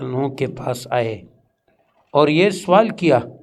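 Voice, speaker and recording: A man's fairly high-pitched voice, an unremarkable speaking voice. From Pashtun. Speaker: Islamic scholar. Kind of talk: religious lecture.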